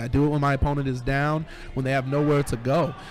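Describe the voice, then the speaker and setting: Over music in the background, a man rattles along at a very fast pace with a fairly high pitch. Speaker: wrestling commentator. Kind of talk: wrestling play-by-play commentary.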